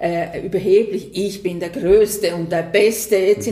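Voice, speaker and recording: Noticeable background noise runs through the clip. Over it, a woman speaks at a moderate pace. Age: 60s. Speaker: business consultant. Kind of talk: interview. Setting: host's premises by the water.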